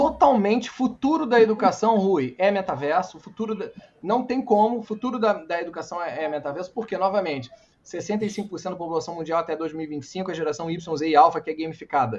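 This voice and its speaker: This man talks at a very fast pace. His pitch is high and his intonation is lively. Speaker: entrepreneur and speaker. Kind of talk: talk with Q&A. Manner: animated.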